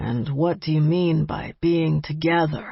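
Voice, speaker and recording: In a put-on character voice, a woman speaks at a very deep, low pitch. Her pace is fairly slow and her intonation fairly even. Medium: read story. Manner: blunt, businesslike.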